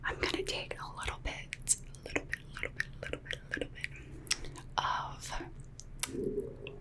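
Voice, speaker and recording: Someone whispers over noticeable background noise. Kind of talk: ASMR makeup roleplay. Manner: whispered; soft-spoken, slow.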